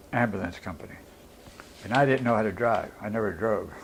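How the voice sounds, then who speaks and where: Fairly low-pitched male speech with fairly even intonation and a Western Pennsylvania accent. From Pittsburgh, Pennsylvania. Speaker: World War II veteran. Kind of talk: oral history interview answer. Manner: casual, conversational.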